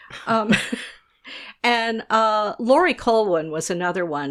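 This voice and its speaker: In an American accent, a woman talks at a fairly slow pace with lively intonation, recorded very cleanly against a silent background. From US South. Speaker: food writer and editor. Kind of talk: interview.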